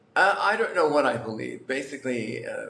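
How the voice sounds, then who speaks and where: A man with an American accent at a moderate pace, with noticeable background noise and audible room echo. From New York. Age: 60s. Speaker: lottery winner. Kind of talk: interview. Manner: halting, many fillers.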